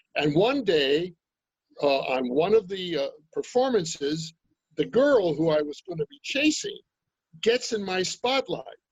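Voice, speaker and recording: A man with an American accent and a high pitch talks at a fairly slow pace, with very wide pitch swings, big swings in loudness and long, frequent pauses. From New York (Brooklyn). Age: old. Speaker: actor and Air Force veteran. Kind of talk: interview storytelling.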